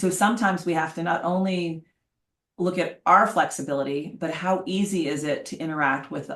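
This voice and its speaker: A woman uses an ordinary speaking voice, her fairly low pitch showing ordinary pitch variation at a moderate pace. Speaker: leadership consultant. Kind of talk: webinar presentation.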